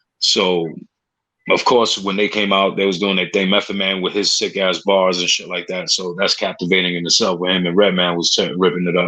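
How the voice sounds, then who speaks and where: Speaking in a New York accent, a man talks at a fairly quick pace in a very deep, low pitch with monotone, flat intonation. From New York City, Spanish Harlem. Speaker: podcast host. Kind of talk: casual chat.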